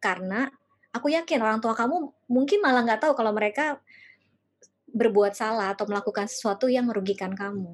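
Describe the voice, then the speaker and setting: Moving at a fairly quick pace, a plain, everyday voice shows ordinary pitch variation. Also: woman. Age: 40s. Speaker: life coach. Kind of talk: workshop talk.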